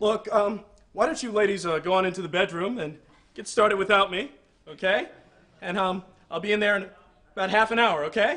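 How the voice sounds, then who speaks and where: A man speaks in a raised, projected voice at a fairly quick pace. His pitch varies in an ordinary way. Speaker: sketch comedy actor. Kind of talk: comedic acted monologue. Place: studio.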